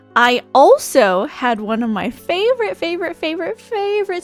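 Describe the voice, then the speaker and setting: A woman's voice makes very wide pitch swings at a fairly slow pace while music plays underneath. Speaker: streamer. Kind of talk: casual chat. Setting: live stream.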